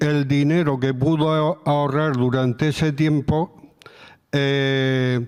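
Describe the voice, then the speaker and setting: Fairly even intonation carries speech that moves very slowly. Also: man. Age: 70s. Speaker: retiree, senior volunteer coordinator. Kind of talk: panel discussion. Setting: stage with audience.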